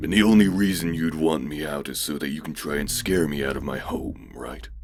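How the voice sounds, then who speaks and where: A man puts on a character voice with a very deep, low pitch. He talks at a fairly quick pace over clear background noise. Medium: read story. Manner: matter-of-fact, taunting.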